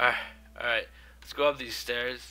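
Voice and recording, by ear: Bright and sharp, the tone cuts through. The intonation holds fairly even. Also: man, medium pitch for a man, fairly slow pace.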